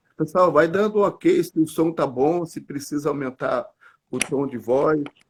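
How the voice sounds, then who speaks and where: This man's fairly high voice has ordinary pitch variation and moves at a moderate pace. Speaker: church leader. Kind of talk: casual chat. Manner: soft-spoken.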